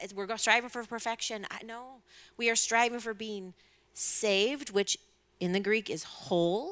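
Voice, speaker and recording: A woman's unremarkable speaking voice, fairly high in pitch, with ordinary pitch variation, big swings in loudness and a moderate pace, on a very clean recording with a silent background. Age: 40s. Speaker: professional counselor and pastor. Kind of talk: panel discussion.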